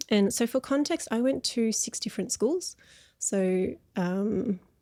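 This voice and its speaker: Heard in a very clean recording with a silent background, a woman with an Australian accent and a dark, mellow tone speaks at a very slow pace. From Australia, Melbourne. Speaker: counsellor. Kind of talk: interview conversation.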